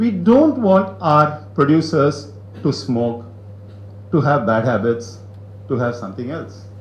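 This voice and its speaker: Noticeable background noise sits behind a man whose medium pitch moves in very wide swings as he speaks at a fairly slow pace. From India, Chennai. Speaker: business owner, guest speaker. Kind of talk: talk to business audience.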